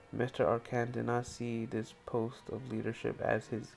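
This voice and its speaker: There is music in the background. The voice moves at a moderate pace. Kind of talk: history narration. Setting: headset microphone.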